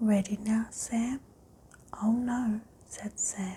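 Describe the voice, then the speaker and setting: A soft-spoken voice talks at a very slow pace. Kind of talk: ASMR bedtime story reading.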